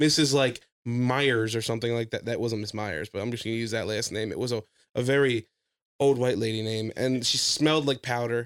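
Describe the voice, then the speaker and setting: With an American accent, a man in a plain, everyday voice talks at a fairly quick pace, medium in pitch and fairly even in intonation. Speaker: podcast host and aspiring stand-up comedian. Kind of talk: casual comedic chat.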